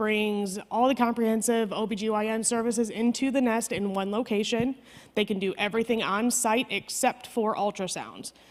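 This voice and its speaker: A woman with an American accent speaks at a fairly high pitch in a flat monotone. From Chicago, US Midwest. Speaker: maternal health program coordinator. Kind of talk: conference presentation. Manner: fast.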